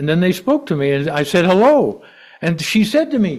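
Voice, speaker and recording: Audible room echo surrounds this man's voice. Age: 70s. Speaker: lay preacher. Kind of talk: sermon. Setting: church. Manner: conversational storytelling.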